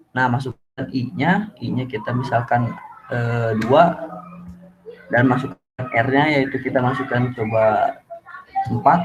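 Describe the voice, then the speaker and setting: Music plays in the background as a man with a medium pitch talks at a very slow pace. He leaves long, frequent pauses and has ordinary pitch variation. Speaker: university student. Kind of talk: tutorial. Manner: soft-spoken; halting. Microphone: too quiet.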